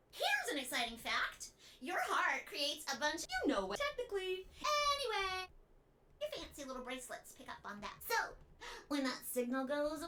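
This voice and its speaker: Someone uses a squeaky, high put-on character voice at a moderate pace. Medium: game stream. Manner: bubbly, taunting.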